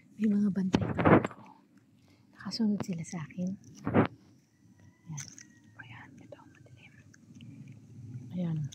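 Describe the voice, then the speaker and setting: Speech moves at a fairly slow pace with long, frequent pauses and ordinary pitch variation. Noticeable background noise runs underneath. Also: woman, medium pitch for a woman. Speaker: vlogger. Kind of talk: casual vlog walk-through. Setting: outdoors at night, walking on the street. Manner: casual, halting with fillers.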